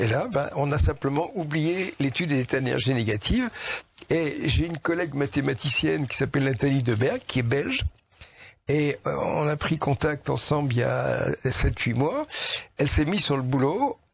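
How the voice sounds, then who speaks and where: Vocal fry runs through this voice, which keeps a very even loudness, a moderate pace and ordinary pitch variation. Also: man, fairly high pitch for a man. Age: 80s+. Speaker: scientist. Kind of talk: interview. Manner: animated.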